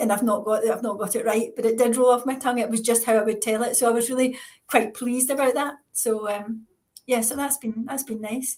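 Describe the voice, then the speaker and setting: In a Scottish accent, a woman talks at a fairly quick pace with a fairly high pitch. Her intonation is flat and monotone. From Scotland. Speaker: author, retired psychiatrist. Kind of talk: interview. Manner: fast.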